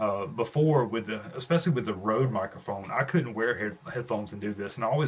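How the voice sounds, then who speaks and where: Somewhat breathy and fairly low in pitch, a man talks at a fairly quick pace. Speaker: streamer. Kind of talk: casual live stream chat. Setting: home studio live stream. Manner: casual, hesitant with fillers.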